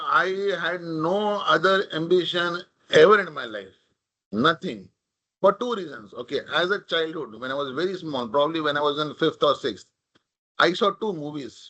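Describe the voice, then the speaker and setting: A man with a Marathi accent, high in pitch, with lively intonation, a moderate pace and a quiet background. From India, Mumbai (Maharashtra). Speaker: corporate leader, invited speaker. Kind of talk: talk at a leadership event. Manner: casual, code-switching Hindi and English.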